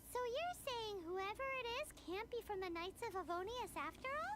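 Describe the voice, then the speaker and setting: An extremely high, squeaky put-on character voice over loud background noise. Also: moderate pace. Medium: video game. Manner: blunt, excitable.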